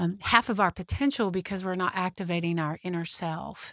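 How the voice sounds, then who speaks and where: A woman in an American accent talks at a moderate pace with ordinary pitch variation. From Texas, Fort Worth. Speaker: medium and meditation guide. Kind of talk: interview.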